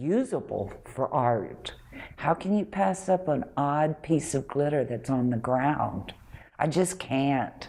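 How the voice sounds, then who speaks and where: A woman speaks fairly slowly in a dark, mellow tone. Her intonation is lively. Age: 60s. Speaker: artist. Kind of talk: interview.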